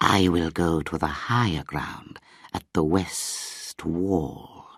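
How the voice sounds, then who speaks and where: A man does a put-on character voice with a very deep, low pitch and ordinary pitch variation at a very slow pace. The recording is very clean, with a silent background. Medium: read story. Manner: calm, measured.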